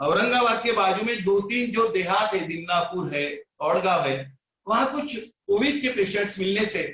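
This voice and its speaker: A man with a Marathi accent, high pitch and lively intonation. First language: Marathi (speaking Hindi). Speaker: Sai devotee and bhajan preacher. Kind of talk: devotional talk.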